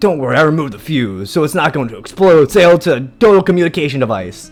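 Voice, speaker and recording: A put-on character voice at a very fast pace, with faint music in the background. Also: man, fairly high pitch for a man. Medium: virtual streamer. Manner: playful, theatrical.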